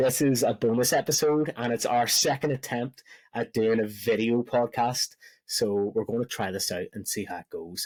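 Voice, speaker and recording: Recorded very cleanly against a silent background, a man with a Belfast accent and medium pitch speaks at a moderate pace. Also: ordinary pitch variation, dry, close sound with no echo. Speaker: podcast host. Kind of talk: casual podcast chat.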